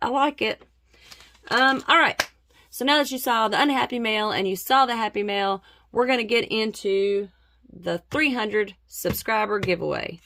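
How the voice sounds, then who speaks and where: The tone is bright and sharp, with ordinary pitch variation and a moderate pace. There is a slight Southern US accent. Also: woman, fairly high pitch for a woman. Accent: slight Southern twang. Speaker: budgeting vlogger. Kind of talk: casual vlog.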